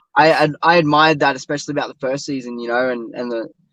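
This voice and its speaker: With an Australian accent, a man speaks at a fairly high pitch. His pitch varies in an ordinary way. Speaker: stunt performer and actor. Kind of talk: interview. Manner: casual, halting with fillers.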